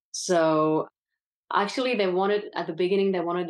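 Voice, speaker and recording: A woman speaks at a medium pitch with a French accent. The background is quiet. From France. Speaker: actress. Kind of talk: casual interview.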